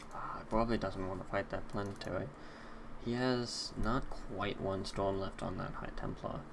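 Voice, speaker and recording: Over noticeable background noise and audible room echo, a man speaks at a moderate pace. His pitch is fairly low, and his intonation is fairly even. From US Northeast, Boston. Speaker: esports caster. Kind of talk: live commentary. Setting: live stream.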